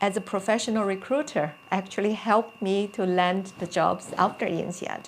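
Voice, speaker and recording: A woman with a Chinese accent speaks at a medium pitch. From China. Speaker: career coach. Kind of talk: personal talk to camera. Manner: hesitant with fillers.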